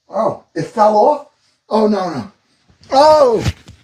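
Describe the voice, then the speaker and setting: Loud, animated speech with very wide pitch swings. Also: man. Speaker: cooking livestreamer. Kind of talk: live cooking stream chat. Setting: livestream.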